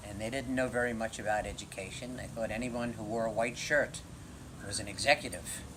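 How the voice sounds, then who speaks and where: With a New York accent, a man speaks at a fairly quick pace and a medium pitch. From Brooklyn, New York. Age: 70s. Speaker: retiree interviewed for oral history. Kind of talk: oral history interview.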